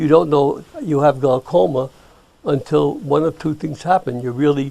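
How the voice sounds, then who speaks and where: Speaking at a moderate pace, a man with a fairly high pitch and a dark, mellow tone uses ordinary pitch variation. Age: 80s+. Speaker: optometrist. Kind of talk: interview.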